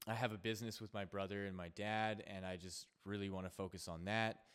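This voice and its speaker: The speaker has a Canadian accent and a monotone, flat intonation. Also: man. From Canada. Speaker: podcast host, yoga teacher. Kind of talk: casual chat.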